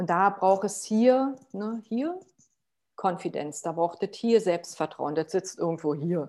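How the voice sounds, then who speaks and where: A woman's dark, mellow tone at medium pitch, very slow pace and lively intonation. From Potsdam, Germany. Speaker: sustainability consultant. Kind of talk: interview.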